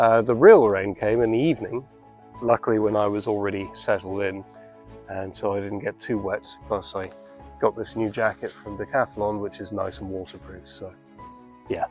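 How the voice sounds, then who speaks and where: A man with a British accent speaks at a fairly low pitch with fairly even intonation, leaving long, frequent pauses. His loudness swings widely while music plays in the background. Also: moderate pace. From Britain. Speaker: travel and hiking vlogger. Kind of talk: casual talk to camera.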